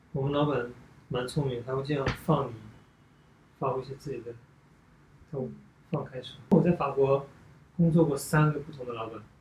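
A man with a fairly high pitch speaks somewhat breathily at a moderate pace, with fairly even intonation, big swings in loudness, and long, frequent pauses. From China. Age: 30s. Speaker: ballet dancer. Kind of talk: casual chat. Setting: at home.

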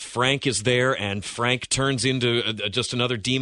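Someone reads in a natural reading voice. The pitch line stays fairly even.

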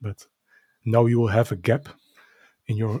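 In a Dutch accent, a man with a medium pitch and a dark, mellow, somewhat breathy tone speaks at a moderate pace in a dry, close sound with no echo. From Netherlands. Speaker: podcast co-host, card collector. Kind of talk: casual chat. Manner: halting.

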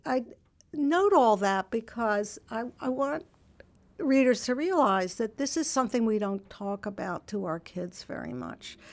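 A woman's voice swings very widely in pitch on a very clean recording with a silent background. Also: fairly slow pace. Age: 70s. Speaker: author and magazine contributing editor. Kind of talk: interview. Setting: studio. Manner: hesitant, filled with hedges.

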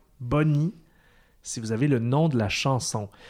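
A fairly slow delivery with a Quebec accent, on a very clean recording over a silent background. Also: man. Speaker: podcast host and quiz master. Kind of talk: casual quiz show.

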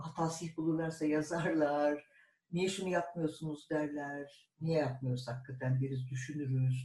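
Fairly high in pitch and dark, mellow in tone, a man's voice moves at a fairly slow pace with fairly even intonation. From Turkey, İzmir. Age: 60s. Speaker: publisher and translator. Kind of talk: oral history interview.

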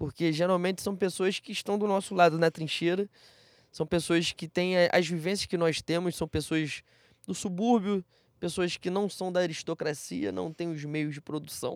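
A man with a high voice speaks at a moderate pace with fairly even intonation, recorded very cleanly against total silence with a dry, close sound and no echo. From Rio de Janeiro, Brazil. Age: 20s. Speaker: football podcast co-host. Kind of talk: casual chat.

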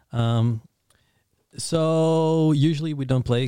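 A man speaks with a Dutch accent in a dark, mellow tone. The recording is very clean, with a silent background. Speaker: podcast host. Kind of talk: casual interview chat.

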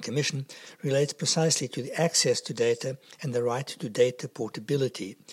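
A man speaks at a very fast pace, somewhat breathy, at a medium pitch. His pitch varies in an ordinary way. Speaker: podcast interviewer. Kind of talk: interview questions.

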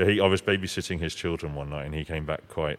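A man talks at a very fast pace with a southern English accent. His very deep, low voice has vocal fry and fairly even intonation. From southern England (Sussex). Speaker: opera singer (bass). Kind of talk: interview. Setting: in person, under a Christmas tree. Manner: hesitant, many fillers.

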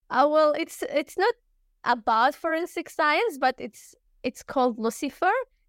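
A woman with an Arabic accent, at a fairly slow pace. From Syria. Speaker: university student. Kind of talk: interview.

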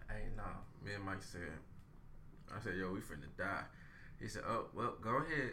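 Audible room echo surrounds a man talking at a moderate pace. He leaves long, frequent pauses. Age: 20s. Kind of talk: casual chat. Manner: animated, laughing.

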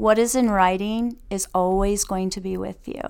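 This woman has an ordinary speaking voice with a medium pitch and ordinary pitch variation. She speaks at a fairly slow pace on a very clean recording with a silent background. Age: 50s. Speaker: retired teacher. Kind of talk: casual chat.

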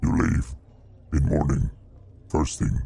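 A man growls out his lines in a put-on character voice. The pitch sits very deep and low. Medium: actual play. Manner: terse broken speech.

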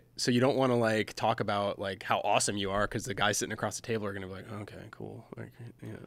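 A man with a fairly low pitch and vocal fry talks at a very fast pace in a monotone, flat delivery. His loudness swings widely on a very clean recording with a silent background. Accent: American. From US Midwest, Michigan. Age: 40s. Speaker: firefighter. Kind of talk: interview.

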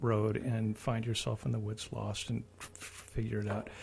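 A man's somewhat breathy, dark and mellow voice at medium pitch, in a Midwestern American accent, at a fairly slow pace. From US Midwest. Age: 60s. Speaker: radio host. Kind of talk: casual chat. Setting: studio.

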